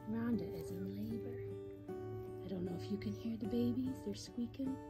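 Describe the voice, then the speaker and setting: Moderately paced speech from a woman, clear music behind her. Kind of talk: casual vlog chat. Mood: excited, hushed. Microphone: phone near.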